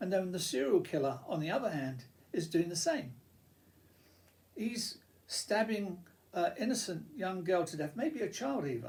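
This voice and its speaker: Speaking at a moderate pace with long, frequent pauses, a man uses a high pitch with very wide pitch swings. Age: 70s. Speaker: YouTuber. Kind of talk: casual monologue. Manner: halting.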